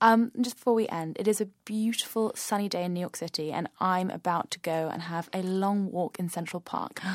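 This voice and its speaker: A woman with a British accent talks at a fairly quick clip, her pitch in the middle range and her intonation fairly even. She barely pauses, and the sound is dry and close with no echo. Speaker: podcast host. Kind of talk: interview with scripted intro.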